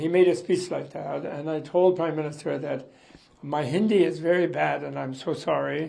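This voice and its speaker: Audible room echo hangs around the voice. He is a man speaking at a moderate speed. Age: 80s+. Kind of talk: interview.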